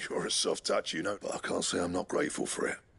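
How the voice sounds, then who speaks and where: A man rattles along at a very fast pace in a raspy, put-on character voice. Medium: video game. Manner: blunt, coarse.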